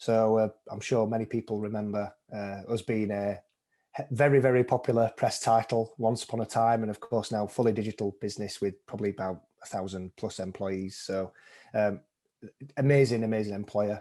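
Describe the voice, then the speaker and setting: Over a quiet background, a man speaks with a Sheffield accent. His voice is fairly low, with a dark, mellow tone. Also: moderate pace. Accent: Sheffield northern English. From northern England, Sheffield. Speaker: account director, mental health ambassador. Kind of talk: podcast interview. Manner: cheerful, upbeat.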